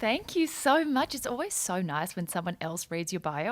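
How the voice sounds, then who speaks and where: A woman in an Australian accent, moderate pace, very wide pitch swings. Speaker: entrepreneur, former lawyer, podcast guest. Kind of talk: casual chat.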